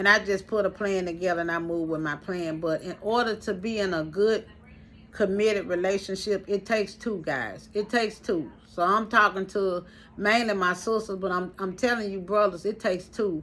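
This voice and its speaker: A woman's medium-pitched, animated voice at a moderate pace. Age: 50s. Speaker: vlogger. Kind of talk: live stream monologue.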